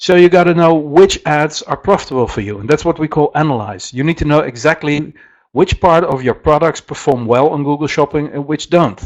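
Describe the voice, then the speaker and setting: Fairly quick speech from a fairly high-pitched man with a Dutch accent, hardly any pauses and ordinary pitch variation. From Netherlands. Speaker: software company presenter. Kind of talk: webinar presentation. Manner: halting, many fillers.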